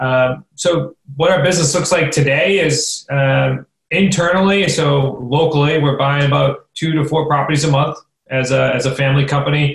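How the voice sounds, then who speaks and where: A man with a New England accent, fairly high pitch, somewhat breathy, at a moderate pace, with fairly even intonation and very even loudness. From central Massachusetts, Worcester. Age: 20s. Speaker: real estate investor. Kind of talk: interview.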